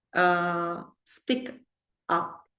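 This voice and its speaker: Spoken in an Italian accent, the voice carries audible room echo. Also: woman. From Italy. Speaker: occult teacher. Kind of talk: lecture. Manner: halting.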